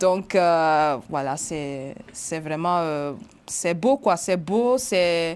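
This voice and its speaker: Speaking at a very slow pace, a woman uses a fairly low pitch and lively intonation. The recording is very clean, with a silent background. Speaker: journalist. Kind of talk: interview. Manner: hesitant.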